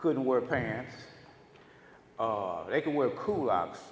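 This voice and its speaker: Audible room echo surrounds a man with an American accent and a fairly high pitch. He speaks at a very slow pace with lively intonation. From Los Angeles, US West Coast (born Houston). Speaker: former activist, guest speaker. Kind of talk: storytelling talk to audience.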